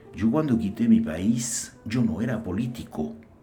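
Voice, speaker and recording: Lively in intonation, a man of medium pitch speaks at a fairly slow pace in a dark, mellow, somewhat breathy tone. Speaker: actor in theatre troupe.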